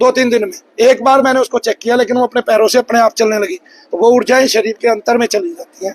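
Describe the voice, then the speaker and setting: A man speaks at an extremely high pitch, with ordinary pitch variation. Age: 40s. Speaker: spiritual healer. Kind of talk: interview.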